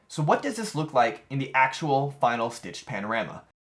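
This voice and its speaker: The voice of a man comes across as somewhat breathy. He talks at a fairly quick pace. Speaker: DIY VR camera rig maker. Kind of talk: tutorial narration.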